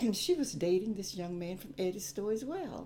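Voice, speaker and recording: A woman speaks with a South Carolina accent at a moderate pace, her intonation lively. Her tone is dark and mellow, edged with vocal fry. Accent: Southern US (South Carolina). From US South, South Carolina upstate (Gaffney). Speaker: retired teacher. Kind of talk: interview. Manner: halting.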